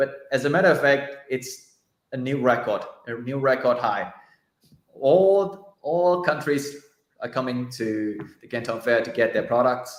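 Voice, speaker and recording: Talking at a fairly slow pace, a man with a medium-pitched voice and ordinary pitch variation is heard with audible room echo. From China. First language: Chinese. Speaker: journalist. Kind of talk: casual livestream interview.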